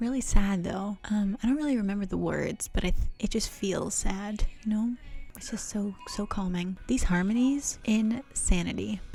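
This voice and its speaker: A woman whispers at a moderate pace. Music plays in the background. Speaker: vlogger. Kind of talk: casual chat. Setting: home piano room. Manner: whispering.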